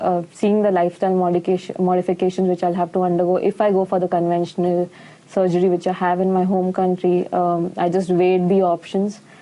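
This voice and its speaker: In an Indian accent, a woman talks very fast with hardly any pauses, her dark, mellow tone flat and monotone at very even loudness. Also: medium pitch for a woman. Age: 20s. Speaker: nutritionist. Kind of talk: patient testimonial.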